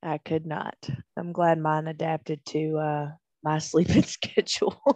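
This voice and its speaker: A woman's very deep, low voice, dark and mellow in tone, flat and monotone at a fairly slow pace, dry and close with no echo against a quiet background. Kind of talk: casual chat.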